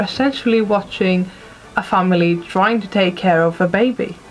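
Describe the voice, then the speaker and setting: A woman with ordinary pitch variation speaks at a fairly slow pace over noticeable background noise. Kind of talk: casual talk to camera, film review.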